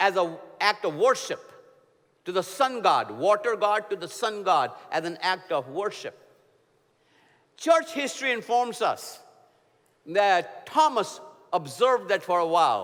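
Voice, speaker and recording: A man speaks in an Indian accent at a fairly slow pace, with long, frequent pauses. His tone is animated and his pitch swings very widely. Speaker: preacher. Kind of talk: sermon.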